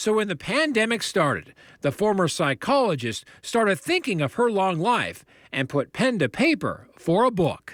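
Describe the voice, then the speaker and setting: High male speech with very wide pitch swings. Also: moderate pace, very even loudness, very clean recording, silent background. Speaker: TV news reporter. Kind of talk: TV news feature narration.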